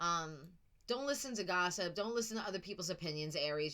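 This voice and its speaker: A woman with a New York accent and a bright, sharp tone talks at a moderate pace with very wide pitch swings. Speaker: tarot reader. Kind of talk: psychic reading video. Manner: casual, chatty.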